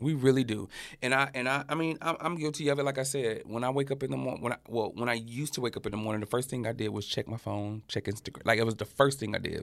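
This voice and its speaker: Over a very clean recording with a silent background, a man with an Alabama accent talks at a very fast pace with hardly any pauses. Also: medium pitch for a man, ordinary pitch variation. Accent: Southern US (Alabama). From US South, Birmingham, Alabama. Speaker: fashion creative and brand founder. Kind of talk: interview conversation.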